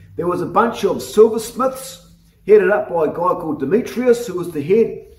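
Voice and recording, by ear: Audible room echo surrounds a man speaking at a moderate pace in a high pitch with a slightly mellow tone.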